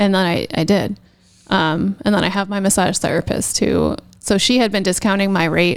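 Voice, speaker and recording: This woman's voice carries vocal fry and fairly even intonation. Her loudness stays very even. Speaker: tattoo artist. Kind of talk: casual chat. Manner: fast.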